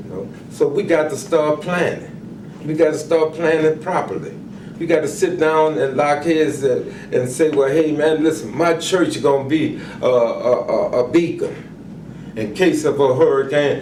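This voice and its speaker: Speaking with an American accent, a man with a fairly high pitch talks at a fairly slow pace with ordinary pitch variation, amid audible room echo and noticeable background noise. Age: 70s. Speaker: community organizer. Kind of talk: interview. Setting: care facility. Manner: halting, repeats words; impassioned.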